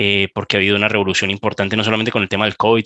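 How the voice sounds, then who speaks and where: A man with a Colombian accent speaks in a fairly low pitch with a bright, sharp tone and monotone, flat intonation. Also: dry, close sound with no echo. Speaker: bank cybersecurity manager, panelist. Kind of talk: panel discussion. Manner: hesitant, many fillers.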